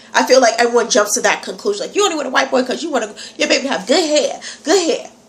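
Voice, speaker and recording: Over noticeable background noise, a woman with an American accent speaks at a very fast pace in a high pitch, her animated tone marked by lively intonation. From New York. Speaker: vlogger. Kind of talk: casual vlog.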